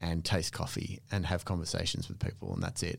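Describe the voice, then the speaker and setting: Speaking with an Australian accent, a man has a very deep, low pitch and fairly even intonation. His pace is fairly quick, and the recording is very clean with a silent background. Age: 40s. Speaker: coffee specialist. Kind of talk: casual chat.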